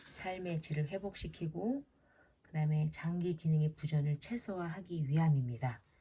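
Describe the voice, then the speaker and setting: The voice has a dark, mellow tone and big swings in loudness. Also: woman. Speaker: head nurse. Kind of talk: lecture. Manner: hesitant, filler-heavy.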